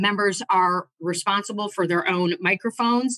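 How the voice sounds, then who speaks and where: Over a quiet background, a woman speaks at a fairly slow pace with ordinary pitch variation, and the sound is dry with no echo. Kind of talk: formal opening statement. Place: office. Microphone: video call.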